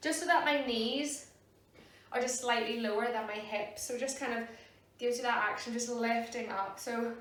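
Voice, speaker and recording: Noticeable background noise behind a high female voice at a moderate speed. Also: fairly even intonation. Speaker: yoga teacher. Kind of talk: guided meditation intro. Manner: casual, relaxed.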